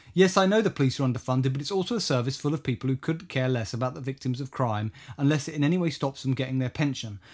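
On a very clean recording with a silent background, a man with a British accent talks at a very fast pace. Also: medium pitch for a man, lively intonation. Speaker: podcast host. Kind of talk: casual chat.

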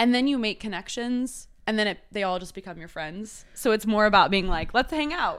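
A woman with an American accent uses an ordinary speaking voice, fairly high in pitch, with lively intonation and big swings in loudness. She talks at a fairly quick pace with hardly any pauses, in a very clean recording with a silent background. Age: 20s. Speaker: singer-songwriter. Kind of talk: casual chat.

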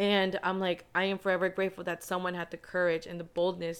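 A fairly quick pace in a Spanish accent. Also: woman. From San Antonio, Texas. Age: 20s. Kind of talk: casual chat, testimony.

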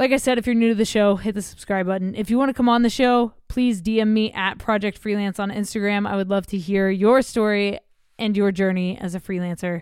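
Fairly quick with hardly any pauses, a woman talks in a normal speaking voice of medium pitch and fairly even intonation. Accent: American. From Oklahoma, US. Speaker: podcast host. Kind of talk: show intro and outro; casual interview chat. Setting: remote recording with poor Wi-Fi.

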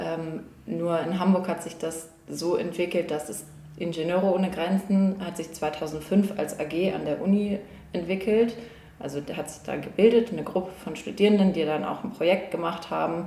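With noticeable background noise and audible room echo, a woman speaks at a fairly low pitch, her intonation fairly even and her loudness swinging widely. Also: moderate pace. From northern Germany, near Lübeck. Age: 20s. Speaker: engineering student. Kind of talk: casual interview.

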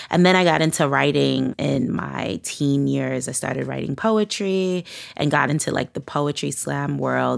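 Against noticeable background noise, a woman with a New York accent talks at a moderate pace. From Brooklyn, New York. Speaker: musician and rapper. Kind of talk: interview conversation.

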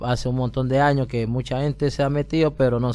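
A man's dark, mellow voice at a medium pitch and a moderate pace. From Colombia, Pacific coast (Buenaventura). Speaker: migrant guest on community radio. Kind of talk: testimony. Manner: halting.

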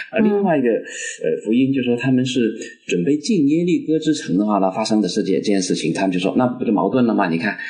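Against noticeable background noise, a man with a medium pitch talks at a fairly quick pace, his pitch swinging very widely. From Guangdong, China. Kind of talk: casual discussion. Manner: halting, repeats words.

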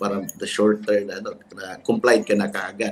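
The intonation is monotone and flat, in a Filipino accent. The pace is moderate. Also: man. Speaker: lawyer, bar association president. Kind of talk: panel discussion.

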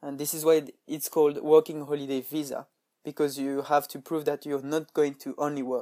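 At a moderate pace, a man speaks with a French accent and a dark, mellow tone. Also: dry, close sound with no echo. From France. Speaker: podcaster and intern. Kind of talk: tutorial.

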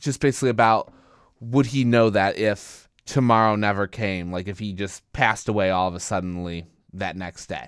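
A man with an unremarkable speaking voice, fairly low pitch, ordinary pitch variation and moderate pace, in a very clean recording with a silent background. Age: 20s. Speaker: college radio host. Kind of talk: casual podcast monologue.

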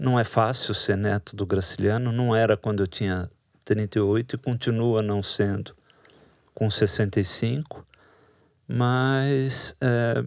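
A man's medium-pitched voice at a very slow pace, dry and close with no echo, on a very clean recording with a silent background. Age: 60s. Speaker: writer and literature professor. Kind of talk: interview.

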